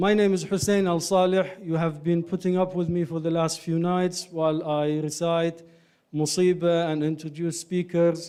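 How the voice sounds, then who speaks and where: A man with an Iraqi accent, high-pitched yet dark and mellow in tone, in a monotone, flat delivery. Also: moderate pace. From Ireland. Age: 30s. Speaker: doctor and community speaker. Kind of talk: lecture. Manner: halting.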